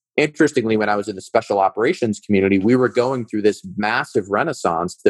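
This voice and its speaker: A man with a Midwestern American accent, fairly low in pitch with ordinary pitch variation, at a fairly quick pace in a dry, close sound with no echo. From US Midwest, suburbs of Cleveland, Ohio. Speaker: startup founder and former military officer. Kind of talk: interview conversation.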